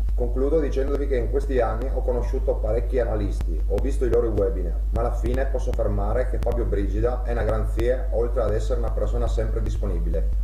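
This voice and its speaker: A man's very deep, low voice at a very fast pace, monotone and flat, very even in loudness, with audible room echo and music in the background. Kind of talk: testimonial statement. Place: home room. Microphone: webcam.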